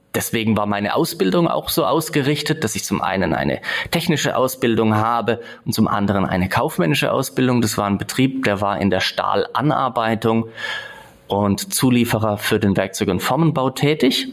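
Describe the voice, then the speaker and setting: Lively intonation from a man, set against noticeable background noise. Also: medium pitch for a man, moderate pace. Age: 40s. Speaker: entrepreneur. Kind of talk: interview. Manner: hesitant fillers.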